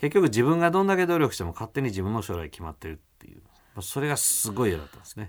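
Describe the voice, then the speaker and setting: Speaking at a very fast pace, a man makes very wide pitch swings and big swings in loudness. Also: medium pitch for a man, very clean recording, silent background. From Kyoto. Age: 40s. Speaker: Zen Buddhist priest. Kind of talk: interview.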